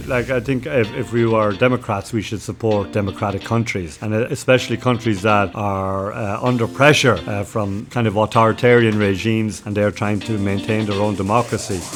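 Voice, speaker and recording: A man with a Cork accent talks at a moderate pace in a fairly low voice, with hardly any pauses. His intonation stays fairly even over noticeable background noise. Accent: Cork Irish. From Cork, Ireland. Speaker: missionary priest. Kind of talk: interview answer.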